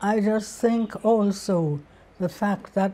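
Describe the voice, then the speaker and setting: A woman speaks very slowly with ordinary pitch variation. Her tone is dark and mellow. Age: 80s+. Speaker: author, librarian, lecturer. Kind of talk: interview answer. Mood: calm, reflective. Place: home room. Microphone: lapel.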